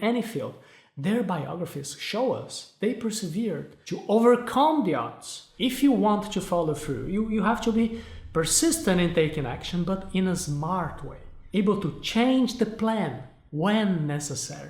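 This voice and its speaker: Spoken at a moderate pace with a Portuguese accent. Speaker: self-help video host. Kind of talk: motivational talk to camera.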